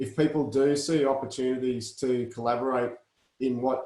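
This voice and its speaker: An Australian-accented man with a medium pitch and flat, monotone intonation. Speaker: industry association host. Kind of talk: online meeting chat.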